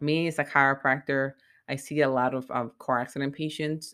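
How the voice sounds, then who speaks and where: A woman's very deep, low voice on a very clean recording with a silent background. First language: Spanish. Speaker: chiropractor and podcast host. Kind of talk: solo educational podcast monologue. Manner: hesitant, many fillers.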